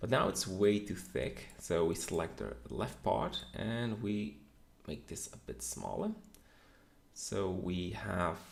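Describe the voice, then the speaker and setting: In a room with audible echo, a man with a very deep, low voice and vocal fry speaks at a very slow pace with very wide pitch swings. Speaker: 3D modeling instructor. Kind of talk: tutorial.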